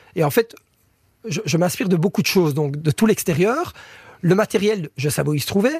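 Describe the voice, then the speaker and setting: Speaking at a moderate pace with long, frequent pauses, a man with a high pitch and lively intonation comes through in a dry, close sound with no echo. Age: 30s. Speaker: chef, cooking contest finalist. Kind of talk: interview. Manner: halting, frequent repetitions.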